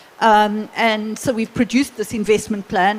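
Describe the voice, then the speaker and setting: A woman is speaking. Her pitch is fairly high, and there is noticeable background noise. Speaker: business organization CEO. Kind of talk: panel discussion. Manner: halting.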